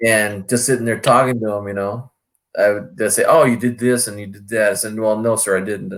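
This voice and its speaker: Speaking at a fairly quick pace, a man keeps a medium pitch and a monotone, flat delivery. His loudness swings a lot. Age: 60s. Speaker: caller in live stream chat. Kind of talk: casual chat.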